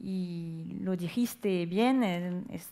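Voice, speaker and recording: This woman talks at a medium pitch. Her intonation is fairly even. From France. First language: French (speaking Spanish). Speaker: e-commerce company representative. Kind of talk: panel discussion.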